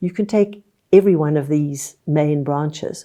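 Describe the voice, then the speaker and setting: The voice has a dark, mellow tone and a fairly slow pace. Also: woman. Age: 80s. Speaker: tree book author. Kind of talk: interview.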